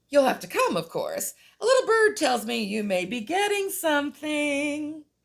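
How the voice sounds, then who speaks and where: Someone puts on a character voice pitched high. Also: moderate pace. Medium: read story.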